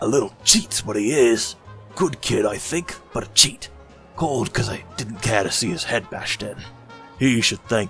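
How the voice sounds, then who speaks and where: Clear music plays in the background. A man does a put-on character voice at a medium pitch and moderate pace. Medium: audio drama. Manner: gruff, blunt.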